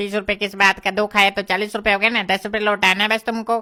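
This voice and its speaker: In a cartoonish character voice, a female-sounding speaker talks at a very fast pace with a medium pitch and monotone, flat intonation. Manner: pushy, salesy.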